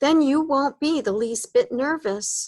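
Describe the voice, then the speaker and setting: A woman uses a put-on character voice, high in pitch and fairly slow in pace. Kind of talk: bedtime story. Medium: read story. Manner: gruff, grumbly.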